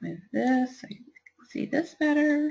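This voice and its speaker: Somewhat breathy, a woman with a Kentucky accent speaks at a fairly slow pace. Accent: Kentucky twang. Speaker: software trainer and virtual assistant. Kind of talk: webinar tutorial. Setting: online webinar.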